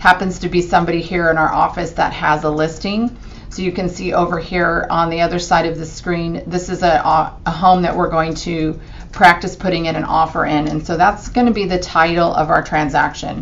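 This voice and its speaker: With noticeable background noise behind her, a woman speaks at a fairly quick pace in a fairly low pitch with monotone, flat intonation. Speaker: real estate agent. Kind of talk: screen-recorded tutorial. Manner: casual with fillers.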